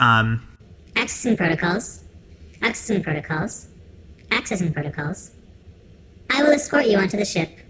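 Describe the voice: A female-sounding put-on character voice at medium pitch moves at a moderate pace, with very wide pitch swings and long, frequent pauses.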